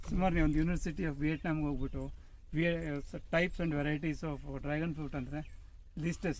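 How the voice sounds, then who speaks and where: Audible room echo surrounds a man speaking with a fairly high pitch and monotone, flat intonation. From Davangere, Karnataka. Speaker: farmer. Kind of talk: interview.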